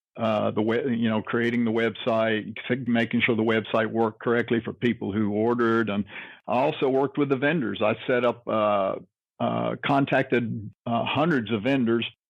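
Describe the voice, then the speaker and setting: In a plain, everyday voice, a man speaks at a moderate pace with fairly even intonation and very even loudness. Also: medium pitch for a man. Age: 60s. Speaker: wrestling historian and convention board member. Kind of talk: interview.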